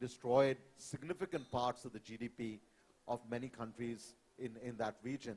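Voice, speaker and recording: A man is speaking. He has a Bengali accent. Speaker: climate panelist. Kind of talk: panel discussion. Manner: hesitant, many fillers.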